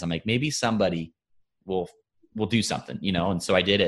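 A plain, everyday voice from a man, fairly low in pitch and fairly quick, on a very clean recording with a silent background. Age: 20s. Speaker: hunting YouTuber and podcast host. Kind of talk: casual chat.

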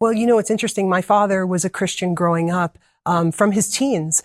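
This woman has a New Jersey accent and talks at a fairly quick pace with ordinary pitch variation. The sound is dry and close with no echo, on a very clean recording with a silent background. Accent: New Jersey American. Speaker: medical missionary and cookbook author. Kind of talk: interview.

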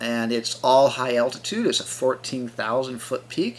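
A man talks in a normal speaking voice at a fairly slow pace. His pitch is medium, with fairly even intonation. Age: 50s. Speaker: multi-sport athlete and yoga coach. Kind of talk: interview.

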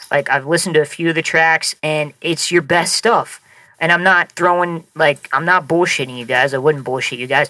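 This man has an American accent and a fairly high pitch. His tone is bright and sharp. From Nebraska. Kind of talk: casual chat.

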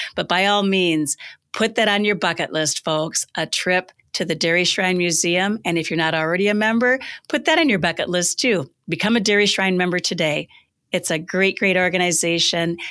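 A woman speaks at a moderate pace and medium pitch in a bright, sharp tone. Her loudness stays very even on a very clean recording with a silent background. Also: ordinary pitch variation. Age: 60s. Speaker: podcast host. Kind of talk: interview.

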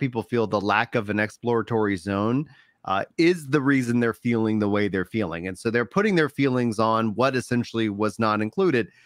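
A man speaks fairly quickly in a plain, everyday voice at medium pitch. The sound is dry and close with no echo, and the recording is very clean with a silent background. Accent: American. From Texas. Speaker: gaming podcast host. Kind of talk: casual chat. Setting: live stream.

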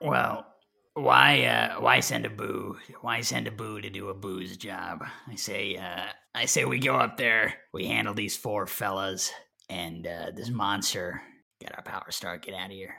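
In a put-on character voice, a man speaks raspy and fairly low-pitched at a fairly slow pace. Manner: breezy, wisecracking, bossy.

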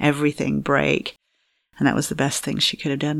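A woman speaks at a very deep, low pitch. Her voice has vocal fry. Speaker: fertility coach. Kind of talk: interview.

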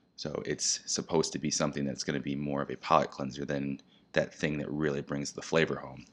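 Speaking in an American accent, a man with a very deep, low voice and vocal fry talks at a fairly quick pace in a flat monotone. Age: 30s. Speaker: spirits brand educator. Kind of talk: casual interview.

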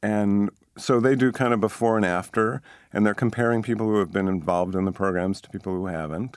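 In a very clean recording with a silent background, a man with an ordinary speaking voice talks fairly quickly at a fairly low pitch, showing ordinary pitch variation and big swings in loudness. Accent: American. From Boston area, US. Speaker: sociology professor. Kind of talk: interview.

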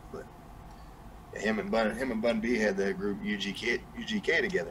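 With a Southern US accent, a man talks at a moderate pace over noticeable background noise. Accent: Southern US, country twang. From New Mexico, US. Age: 30s. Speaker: music artist. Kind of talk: casual interview chat. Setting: live stream, video call.

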